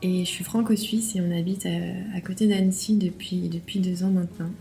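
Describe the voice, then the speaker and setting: A woman's medium-pitched, monotone, flat delivery at a moderate pace, with music in the background. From France. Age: 30s. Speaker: interview guest sharing testimony. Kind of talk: testimony. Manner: hesitant, repeats words.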